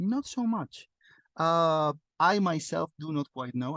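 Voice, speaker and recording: Over a quiet background, a man's voice swings very widely in pitch, the sound dry and close with no echo. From Spain. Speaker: sales manager. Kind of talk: webinar presentation. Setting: video call. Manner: normally loud.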